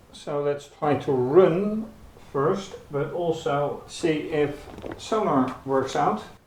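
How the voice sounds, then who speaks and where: Amid audible room echo and noticeable background noise, a man with a fairly high pitch and ordinary pitch variation speaks at a very slow pace. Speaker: hobbyist robotics youtuber. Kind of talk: tutorial. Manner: soft-spoken; halting. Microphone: camera built-in mic.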